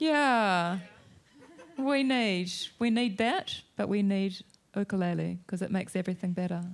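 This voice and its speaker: This speaker has a New Zealand accent and talks at a fairly slow pace with long, frequent pauses. Loudness stays very even, pitch varies in an ordinary way, and the recording is very clean with a silent background. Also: woman, medium pitch for a woman. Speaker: novelist, event chair. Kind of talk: live onstage conversation. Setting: stage with audience.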